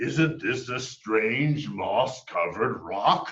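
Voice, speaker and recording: This man is doing a put-on character voice, pitched at medium. His delivery is very slow. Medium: read story.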